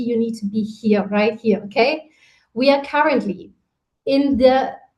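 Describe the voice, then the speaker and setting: A woman speaks at a moderate pace with a German accent. Her pitch is high, with ordinary variation. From Germany. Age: 30s. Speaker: network marketing leader. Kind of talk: motivational talk. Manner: animated.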